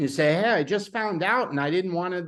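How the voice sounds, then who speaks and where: A man speaks in a New York accent. His pitch swings very widely. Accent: New York drawl. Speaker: sales team trainer. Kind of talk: training session on a call. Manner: casual, halting with repeated words.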